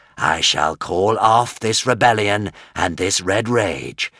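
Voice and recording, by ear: Natural reading aloud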